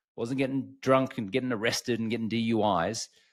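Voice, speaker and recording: A man's medium-pitched voice in an Australian accent, ordinary pitch variation, on a very clean recording with a silent background. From Australia, Brisbane, Queensland. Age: 40s. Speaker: alcohol-free coach, former sports TV host. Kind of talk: podcast interview, personal story.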